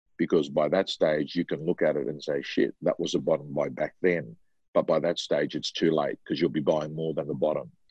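A man with an Australian accent speaks in a dry, close recording with no echo. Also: quiet background. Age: 50s. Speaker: real estate trainer and coach. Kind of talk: interview.

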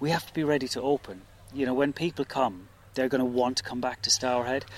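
With an unremarkable speaking voice, a man talks fairly quickly at a medium pitch with ordinary pitch variation. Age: 40s. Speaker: head gardener and estate manager. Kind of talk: interview.

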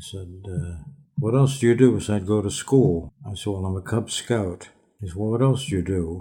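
With an American accent, a man speaks in a fairly low, somewhat breathy voice of dark, mellow tone, his loudness swinging widely. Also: ordinary pitch variation, moderate pace. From Pittsburgh, Pennsylvania, US. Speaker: poet. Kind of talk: interview conversation. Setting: outdoors, in person, socially distanced.

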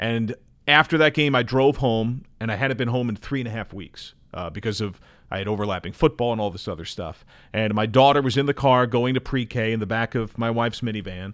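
A man's medium-pitched, unremarkable speaking voice with an American accent and ordinary pitch variation, on a very clean recording with a silent background. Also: fairly quick pace. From New Jersey. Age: 40s. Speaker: baseball TV play-by-play announcer. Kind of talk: casual chat. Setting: studio.

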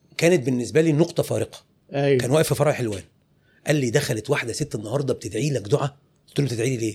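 Talking at a very fast pace, a man uses a medium pitch with ordinary pitch variation. His voice is somewhat breathy. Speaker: clothing retail business owner. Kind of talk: interview.

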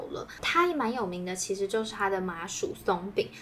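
The voice has lively intonation, with noticeable background noise. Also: woman. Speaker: food podcast co-host. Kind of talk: casual chat. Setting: in-person recording together.

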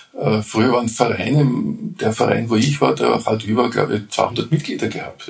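Noticeable background noise around a man's moderately paced speech. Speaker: beekeeper. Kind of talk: casual interview. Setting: hotel rooftop.

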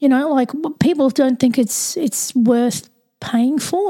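The voice has an Australian accent and a dark, mellow tone. Its pitch variation is ordinary. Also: woman. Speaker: podcast host. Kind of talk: casual interview chat.

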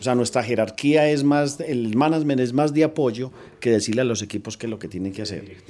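A man with an ordinary speaking voice talks at a fairly quick pace, medium pitch and ordinary pitch variation. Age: 50s. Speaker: bank technology executive. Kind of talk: interview.

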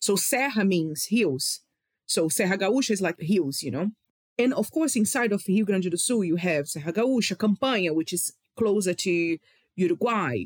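An enthusiastic, passionate tone in a Brazilian accent, moderate pace, on a very clean recording with a silent background. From Rio de Janeiro, Brazil. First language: Portuguese. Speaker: wine communicator. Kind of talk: casual interview chat.

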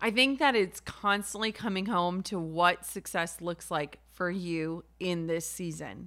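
An ordinary speaking voice from a woman with an American accent, fairly low in pitch with ordinary pitch variation, fairly slow and with hardly any pauses. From Minnesota, US. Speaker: entrepreneur and podcast host. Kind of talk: interview.

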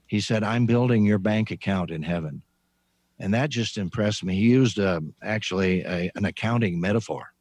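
At a fairly quick pace, a speaker with an American accent uses an unremarkable speaking voice with ordinary pitch variation. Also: man, fairly low pitch for a man. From US Midwest (Indiana farm). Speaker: retired pastor and author. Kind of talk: interview. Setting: video call.

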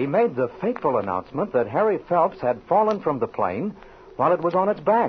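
Talking at a fairly quick pace, a man with a high pitch makes very wide pitch swings over noticeable background noise. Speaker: announcer. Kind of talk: scripted narration.

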